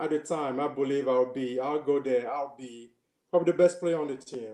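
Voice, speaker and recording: This man's fairly high voice moves at a moderate pace, its pitch varying in an ordinary way. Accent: slight Cameroonian. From Cameroon. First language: French. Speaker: former college basketball player. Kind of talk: interview. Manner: hesitant, many fillers and repetitions.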